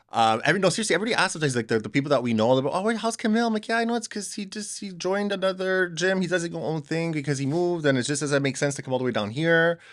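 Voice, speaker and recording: A man talks at a very fast pace with hardly any pauses. His high voice makes very wide pitch swings. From Montreal, Quebec. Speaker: podcast host. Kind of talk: casual chat. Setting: indoors with snow outside.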